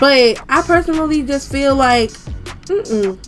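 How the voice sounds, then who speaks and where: With music playing in the background, the speaker's intonation is lively. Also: woman. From Georgia, USA. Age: 20s. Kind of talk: casual commentary over gameplay. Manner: animated, sassy.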